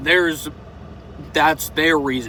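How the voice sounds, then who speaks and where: A man speaks in a fairly high pitch. There is noticeable background noise. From US South. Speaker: vlogger. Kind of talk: opinion monologue. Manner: casual, unscripted with hesitations.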